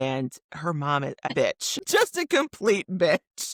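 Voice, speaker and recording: A woman with a Midwestern American accent speaks very slowly at a fairly low pitch. The sound is dry and close with no echo, in a very clean recording with a silent background. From Michigan, USA. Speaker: author and podcaster. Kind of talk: interview answer.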